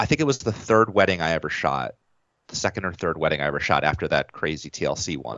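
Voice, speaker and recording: Very fast and with lively intonation, a man with a very deep, low pitch, vocal fry and an American accent speaks. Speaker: wedding videographer. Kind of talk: casual interview.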